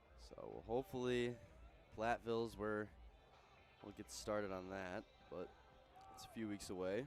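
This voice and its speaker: Music plays in the background as a man speaks at a moderate pace. His pitch is fairly low, and he leaves long, frequent pauses. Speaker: sports play-by-play announcer. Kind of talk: pregame commentary. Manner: flat, like reading a book.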